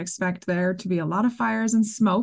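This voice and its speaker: A woman speaks in an unremarkable speaking voice with an American accent. Her pitch is medium, and the background is quiet. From US Midwest. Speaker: podcast host and outdoor writer. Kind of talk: interview.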